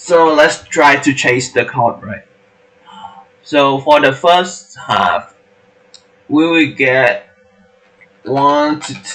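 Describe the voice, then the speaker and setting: A man with a non-native accent talks at a very slow pace. He leaves long, frequent pauses. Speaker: coding tutor. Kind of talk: tutorial. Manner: halting.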